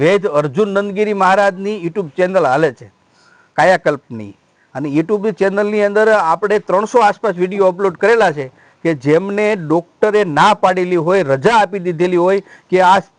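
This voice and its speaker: A man speaks with a high pitch and ordinary pitch variation. The sound is dry and close, with no echo. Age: 50s. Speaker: ascetic monk and ayurvedic healer. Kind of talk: interview. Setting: outdoor health camp at a shrine.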